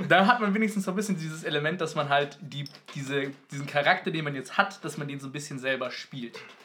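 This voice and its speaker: A man at a very fast pace, with big swings in loudness and ordinary pitch variation. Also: fairly high pitch for a man. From Munich, Germany. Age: 20s. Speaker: student, podcast co-host. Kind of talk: casual chat.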